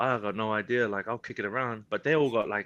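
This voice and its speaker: A man at medium pitch with a bright, sharp tone and fairly even intonation, over a quiet background. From New Zealand, Porirua near Wellington. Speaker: professional rugby player. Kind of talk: podcast interview. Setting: live-streamed podcast. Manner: casual, relaxed.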